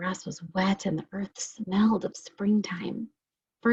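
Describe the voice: Fairly even intonation marks this plain reading aloud. The background is quiet.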